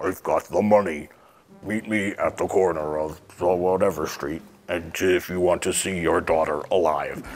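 In a put-on character voice, a man uses a very deep, low pitch. His pace is moderate.

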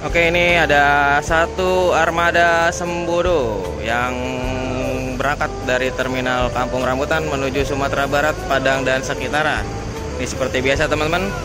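Clear music plays in the background while a man speaks in a dry sound with no echo. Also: ordinary pitch variation, moderate pace. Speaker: bus-spotting vlogger. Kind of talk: casual vlog commentary. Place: station. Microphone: phone near.

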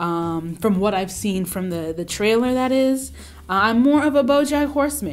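A woman speaking at a moderate pace. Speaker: lifestyle video host. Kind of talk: casual vlog chat. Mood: relaxed, opinionated, humorous. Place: studio.

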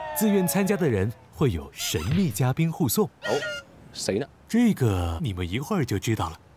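A man with a fairly high voice speaks at a moderate pace. His pitch swings very widely, and there is noticeable background noise. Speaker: narrator announcer. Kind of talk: scripted narration.

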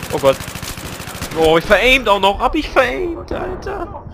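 Words come at a fairly slow pace. Behind them is noticeable background noise. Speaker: gaming YouTuber. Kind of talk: let's play commentary. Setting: recorded game session with voice chat. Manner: animated.

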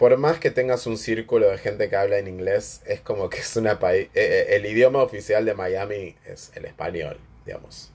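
A man speaks in an Argentine accent at a moderate pace, with hardly any pauses. His loudness swings widely. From Argentina. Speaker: commentator; vlogger. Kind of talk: casual monologue. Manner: hesitant, many fillers. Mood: chatty, gossipy. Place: home room. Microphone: phone near.

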